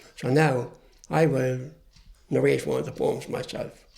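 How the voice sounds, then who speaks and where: This man talks with an Irish accent. His pace is moderate. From Ireland. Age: 70s. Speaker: poet. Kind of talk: interview answer.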